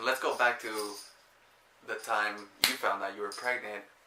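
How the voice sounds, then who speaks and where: A man talks at a fairly slow pace in a flat, monotone delivery, with audible echo in the room. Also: long, frequent pauses. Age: 20s. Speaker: vlogger. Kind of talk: casual chat.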